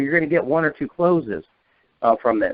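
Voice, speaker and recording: An American-accented man talks at a fairly quick pace with lively intonation. His voice sits high in pitch for a man. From northern US. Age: 40s. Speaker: insurance agency manager. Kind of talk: training talk on a conference call. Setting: phone call. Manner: fast.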